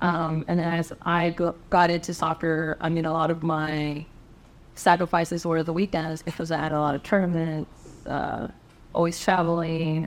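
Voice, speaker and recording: Speaking at a moderate pace, a woman with an American accent has a fairly low pitch. Her intonation is monotone and flat. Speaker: former soccer player. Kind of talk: live panel discussion. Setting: stage with audience.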